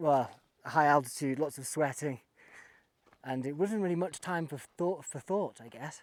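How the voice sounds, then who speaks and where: A man with a plain, everyday voice and a fairly high pitch shows ordinary pitch variation and big swings in loudness. The recording is very clean with a silent background. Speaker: travel vlogger. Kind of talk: casual vlog narration while walking. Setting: outdoors.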